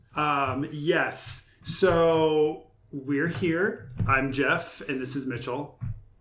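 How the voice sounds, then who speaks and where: Speaking at a very slow pace, a man has a fairly high pitch with ordinary pitch variation. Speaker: podcast co-host. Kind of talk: casual chat. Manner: loud. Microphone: far from the mic.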